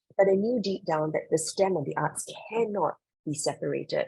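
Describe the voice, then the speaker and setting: A woman talks at a fairly quick pace. Her voice is somewhat breathy. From Singapore. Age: 40s. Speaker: creative director and professor. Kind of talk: interview.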